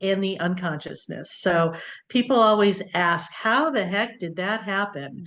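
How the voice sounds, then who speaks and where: A woman with an American accent has a plain, everyday voice at a medium pitch. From US, Connecticut. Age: 60s. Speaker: nurse practitioner. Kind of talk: interview.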